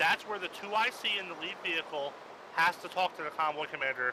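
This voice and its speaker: A man speaks fairly quickly while noticeable background noise plays underneath. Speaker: military training instructor in a game. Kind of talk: instructional briefing. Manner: fast.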